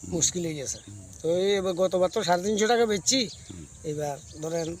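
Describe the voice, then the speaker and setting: Noticeable background noise under speech of ordinary pitch variation. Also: man. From Tripura, India (Kathalia, North Maheshpur). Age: 60s. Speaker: date palm sap tapper. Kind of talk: interview.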